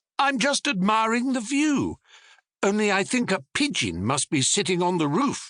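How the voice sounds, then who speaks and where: A man talks in a put-on character voice pitched high. His pace is moderate. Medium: read story. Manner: earnest, polite.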